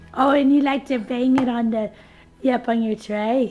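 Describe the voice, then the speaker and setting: A woman speaks at a very slow pace and a high pitch. Noticeable background noise runs behind her. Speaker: parent filming her baby. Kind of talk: talking to a baby.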